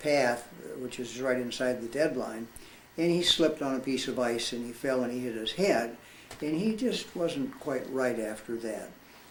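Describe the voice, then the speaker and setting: Amid audible room echo and noticeable background noise, a man with an American accent speaks at a moderate pace and medium pitch with ordinary pitch variation. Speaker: war veteran. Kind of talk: testimony. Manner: halting.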